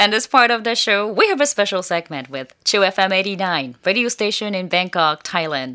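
A woman with a Japanese accent speaks at a medium pitch and a moderate pace. Her intonation is lively, with hardly any pauses. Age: 40s. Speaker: radio host. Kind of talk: radio show segment, bilingual.

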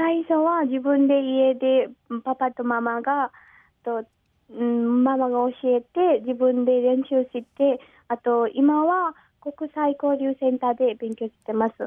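A woman's high-pitched voice with a Nepali accent, very slow in pace and fairly even in intonation. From Nepal, Pokhara. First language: Nepali (speaking Japanese). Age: 20s. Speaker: guest. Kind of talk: radio interview. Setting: phone call. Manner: halting.

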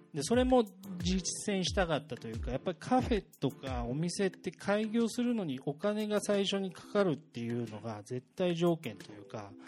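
Pitch swings very widely as a man talks at a moderate pace with hardly any pauses. His voice is high for a man, and his loudness swings a lot. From Japan, Gunma (Tatebayashi). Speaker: relocated business owner. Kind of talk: casual talk in front of an audience.

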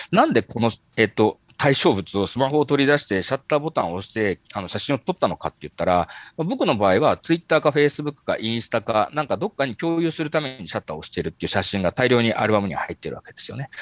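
A man talks very fast at medium pitch with very wide pitch swings, vocal fry and big swings in loudness. The sound is dry and close with no echo against a quiet background. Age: 40s. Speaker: marketing company executive. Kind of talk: interview. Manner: halting, many fillers.

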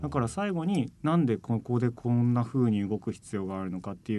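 This man talks at a fairly quick pace with a medium pitch and very wide pitch swings. His tone is dark and mellow against a quiet background. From Japan, Kumamoto (Aso). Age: 30s. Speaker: contemporary dancer. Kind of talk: radio interview. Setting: radio studio.

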